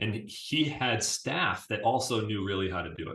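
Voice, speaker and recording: A man's fairly low voice with an American accent and a bright, sharp tone, plus audible room echo. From Syracuse, New York, US. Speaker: business CEO, former basketball team manager. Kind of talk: interview conversation.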